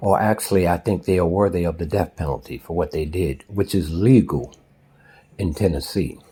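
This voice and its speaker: A man with an American accent, very deep and low in pitch, with vocal fry, ordinary pitch variation and a moderate pace. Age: 60s. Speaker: social commentator. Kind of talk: spoken commentary. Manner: forceful.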